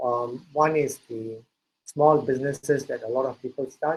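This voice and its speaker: Fairly even intonation in an unremarkable speaking voice. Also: man. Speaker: entrepreneur and startup speaker. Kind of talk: lecture.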